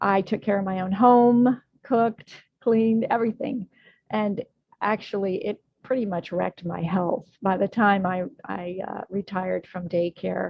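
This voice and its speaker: At a moderate pace, a woman with a medium pitch and fairly even intonation uses an ordinary speaking voice. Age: 60s. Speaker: health and wellness coach. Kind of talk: interview.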